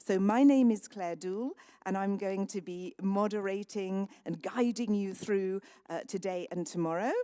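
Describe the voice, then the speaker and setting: Using a British accent, a woman speaks at a fairly slow pace. Her tone is dark and mellow, with ordinary pitch variation. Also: medium pitch for a woman. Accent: sounds very British. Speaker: conference moderator. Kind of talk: event moderation. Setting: conference hall with audience.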